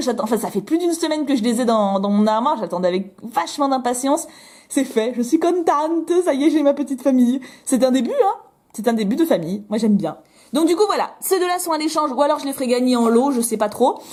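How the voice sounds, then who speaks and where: A woman speaks loudly and very fast in a high, animated voice whose pitch swings very widely. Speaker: YouTuber. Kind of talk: toy unboxing vlog. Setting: at home, window open.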